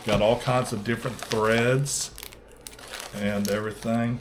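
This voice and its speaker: A man's medium-pitched voice with a Southern US accent at a fairly slow pace, over noticeable background noise. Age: 60s. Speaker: fishing channel host. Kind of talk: casual video vlog. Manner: halting, many fillers.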